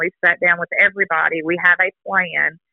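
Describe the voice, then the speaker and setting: A woman with an American accent in a plain, everyday voice, fairly low in pitch, at a moderate pace with fairly even intonation. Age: 40s. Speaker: mother of a sick baby. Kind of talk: interview about personal experience.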